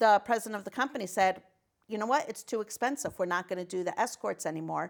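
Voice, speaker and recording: A woman with an American accent talks at a very fast pace, her medium pitch carried by lively intonation. The recording is very clean, with a silent background. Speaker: state senator and nurse. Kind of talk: interview. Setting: talk show. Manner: loud.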